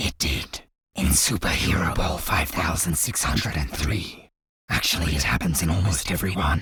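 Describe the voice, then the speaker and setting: A man puts on a cartoonish character voice, pitched very deep and low, at a moderate pace. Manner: casual, wry.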